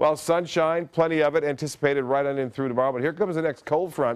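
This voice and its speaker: Here a man speaks at a very fast pace. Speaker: TV weather forecaster. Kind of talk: TV weather forecast, informative on-air report with banter. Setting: TV studio. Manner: steady, conversational, businesslike; halting with filler 'uh' pauses. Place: studio. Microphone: lapel.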